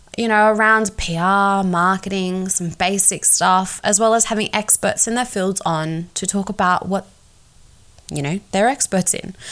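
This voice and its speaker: On a very clean recording with a silent background, a woman with an Australian accent speaks with ordinary pitch variation. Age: 20s. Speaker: podcast host, PR agency owner. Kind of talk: podcast trailer monologue.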